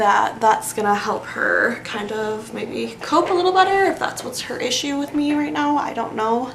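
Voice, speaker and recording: Soft-spoken and high-pitched, a woman talks at a moderate pace with very wide pitch swings, audible room echo and noticeable background noise. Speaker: beauty vlogger. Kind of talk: casual chat.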